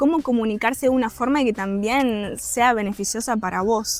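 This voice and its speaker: With music in the background, a woman in a Uruguayan accent talks at a moderate pace and a fairly high pitch, her intonation fairly even. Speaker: government trade officer. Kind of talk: interview answer.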